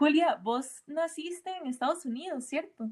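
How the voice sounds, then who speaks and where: Her pitch is high with ordinary variation as a woman talks at a very slow pace. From Costa Rica. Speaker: podcast host. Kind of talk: interview.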